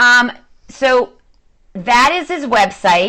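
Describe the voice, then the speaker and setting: The voice has a bright, sharp, animated tone and lively intonation. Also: woman. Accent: slight Boston. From Boston, Massachusetts. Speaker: social media coach. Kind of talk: live-stream talk to viewers. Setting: at home, livestream.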